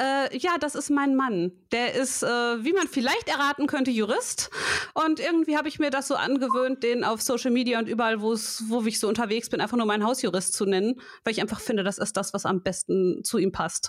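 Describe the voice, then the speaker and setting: A woman with a high pitch talks in an animated tone at very even loudness. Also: ordinary pitch variation, fairly quick pace. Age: 30s. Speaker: podcast co-host, logo and brand designer. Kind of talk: casual chat. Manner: animated, laughs often.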